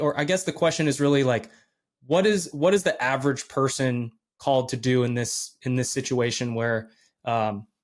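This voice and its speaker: The speaker talks at a moderate pace. Pitch varies in an ordinary way. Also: man. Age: 30s. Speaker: podcast host. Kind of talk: interview. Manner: halting.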